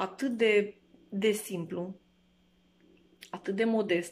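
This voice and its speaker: A woman's very slow pace with fairly even intonation. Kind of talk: interview answer. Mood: reflective, warm remembrance. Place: home room. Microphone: phone near.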